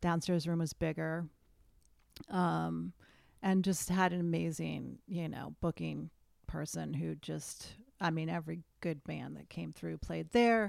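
A woman with an American accent at a fairly slow pace, on a very clean recording with a silent background. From US Northeast, western Massachusetts. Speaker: author and filmmaker. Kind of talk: casual chat.

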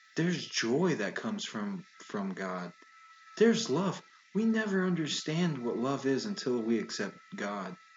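Through noticeable background noise, a man with a fairly high pitch speaks at a fairly slow pace with very wide pitch swings. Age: 20s. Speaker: pastor and podcast co-host. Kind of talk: casual chat. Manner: animated.

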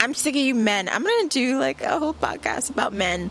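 Noticeable noise sits behind the woman, whose pace is moderate. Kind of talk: angry rant. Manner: fired-up, sneering and defiant, spitting out short punchy insults and swearing; loud, emphatic, repeating words for effect.

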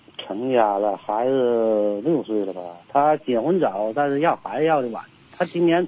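The man's voice sits at a medium pitch. He speaks at a fairly slow pace. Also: lively intonation. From Liaoning, northeast China (Tieling). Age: 50s. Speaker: caller. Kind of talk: phone-in confession. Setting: phone call. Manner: halting.

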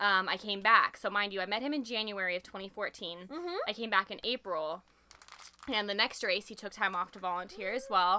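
Over noticeable background noise, a woman of medium pitch talks at a fairly quick pace with ordinary pitch variation and big swings in loudness. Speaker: podcast guest. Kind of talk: casual chat.

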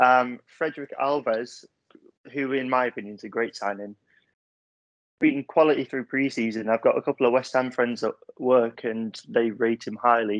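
An ordinary speaking voice from a man at a medium pitch and moderate pace, with fairly even intonation and a dry, close sound with no echo. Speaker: football fan podcast guest. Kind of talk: casual chat.

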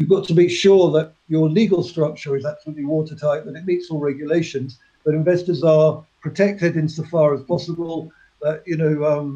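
With a southern English accent, the voice has a dark, mellow tone, fairly even intonation and a fairly quick pace. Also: man, fairly high pitch for a man. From England, near Cambridge. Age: 50s. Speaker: company chairman. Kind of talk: interview.

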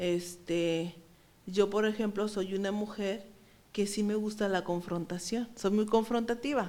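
This woman has a dark, mellow tone at a medium pitch, speaking at a fairly slow pace with fairly even intonation. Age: 30s. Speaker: psychologist. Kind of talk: interview.

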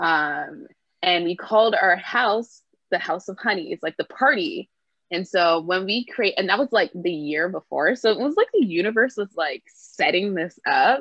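A woman with a medium pitch talks at a moderate pace, her pitch swinging very widely. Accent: Toronto. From Canada, Brampton Ontario. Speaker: street dancer. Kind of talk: casual interview.

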